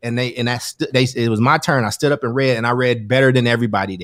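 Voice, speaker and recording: In a very clean recording with a silent background, a man with an American accent and a medium pitch speaks in an animated tone. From US Midwest/South (Chicago, Kentucky). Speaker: education advocate, guest. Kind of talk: casual conversation.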